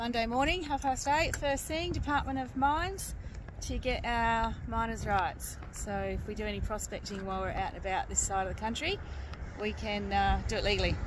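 The voice moves at a moderate pace. The sound is dry with no echo, with noticeable background noise behind it. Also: woman. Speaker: travel vlogger. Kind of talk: casual vlog chat. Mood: cheerful. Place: street. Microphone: phone near.

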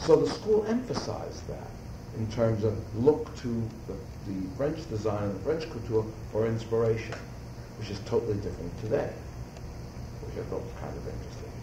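Over noticeable background noise, a man with an American accent talks at a moderate pace, with big swings in loudness and long, frequent pauses. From New York City. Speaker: fashion designer. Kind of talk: interview answer. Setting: audio recording, 1985.

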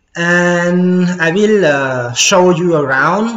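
A man speaks with audible room echo. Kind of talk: casual tour narration. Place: gym. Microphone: phone near.

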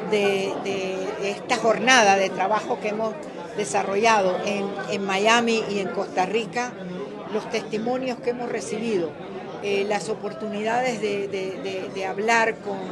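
A woman talks at a very slow pace. Crowd noise carries in the background. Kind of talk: interview answer. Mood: serious, earnest. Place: meeting room. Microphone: handheld.

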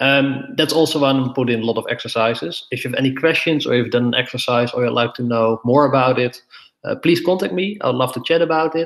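Very fast speech from a man with a Dutch accent, ordinary pitch variation, and a quiet background. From Netherlands. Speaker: debate coach; debate workshop trainer. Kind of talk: lecture. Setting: live stream. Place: home room. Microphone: webcam.

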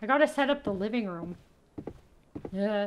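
Speaking in a Canadian accent, a woman sounds animated, her intonation lively, with light background noise behind her. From Canada. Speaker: gaming youtuber; gaming streamer. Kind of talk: let's play commentary. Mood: playful, amused. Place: home room.

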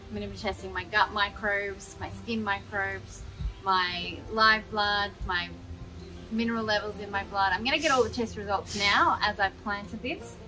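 Speech at a moderate pace sits over light background noise. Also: woman. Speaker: gardening vlogger. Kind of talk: casual vlog chat. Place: garden.

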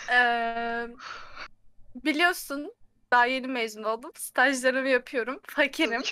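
A woman with a high pitch and a bright, sharp tone speaks at a very slow pace, with ordinary pitch variation. The sound is dry with no echo, over a quiet background. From Turkey. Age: 20s. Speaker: recent chemical engineering graduate; guest. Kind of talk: casual chat. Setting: video call. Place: home room.

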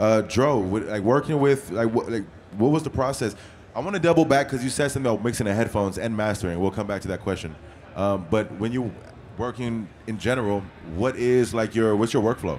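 At a very fast pace, a man speaks at a medium pitch with ordinary pitch variation over light background noise. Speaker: interviewer and audio engineer; interviewer. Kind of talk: casual interview. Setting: music trade show. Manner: animated. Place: hall.

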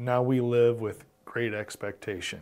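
A man speaks at a fairly slow pace against a quiet background. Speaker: pastor teaching Bible study. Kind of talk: Bible study teaching. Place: studio. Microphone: lapel.

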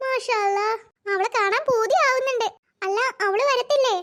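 This is a cartoonish character voice, squeaky in sound. It moves at a fairly slow pace. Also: woman, extremely high pitch for a woman. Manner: chatty, warm.

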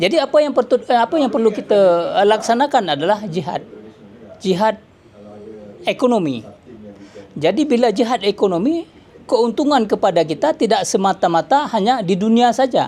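Over noticeable background noise, a man with a high pitch speaks at a moderate pace with lively intonation, very even loudness, and long, frequent pauses. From Aceh, Indonesia. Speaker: businessman. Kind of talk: speech at signing ceremony. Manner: halting, many fillers.

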